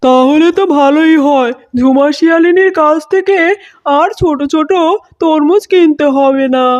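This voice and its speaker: A cartoonish character voice at a high pitch comes through at a fairly slow pace. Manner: genial.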